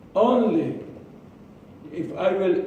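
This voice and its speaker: The voice swings very widely in pitch. Audible room echo and noticeable background noise surround it. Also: man. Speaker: public speaking club member. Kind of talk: prepared speech. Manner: halting.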